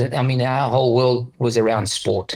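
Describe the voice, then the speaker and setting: A man with a medium pitch speaks in a somewhat breathy voice. His intonation is monotone and flat, and his pace is moderate. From Pietermaritzburg, South Africa. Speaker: motocross trainer. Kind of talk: interview answer.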